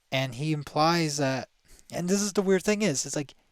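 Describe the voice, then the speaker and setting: In a very clean recording with a silent background, a man speaks at a moderate pace with a dry, close sound and no echo. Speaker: YouTube commentator reacting to a video. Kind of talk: casual reaction commentary. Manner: halting, stumbles over words; many filler words.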